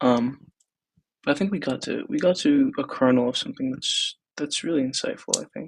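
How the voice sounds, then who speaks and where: Soft-spoken and fairly quick, a man talks with an American accent. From Texas. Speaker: startup founder. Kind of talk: personal video diary. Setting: apartment, thin walls. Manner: casual, hesitant.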